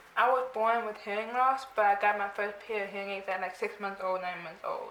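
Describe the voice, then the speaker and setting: Speaking at a fairly quick pace, a woman with a medium pitch keeps her intonation fairly even, with noticeable background noise and audible room echo. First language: American Sign Language. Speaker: interviewee with hearing loss. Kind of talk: casual interview. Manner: fast.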